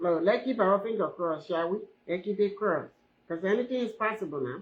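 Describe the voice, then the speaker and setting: A woman with a medium pitch talks at a fairly quick pace, her pitch varying in an ordinary way. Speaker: live-stream host, hair braider. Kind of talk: casual live stream chat. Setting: live stream. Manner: animated.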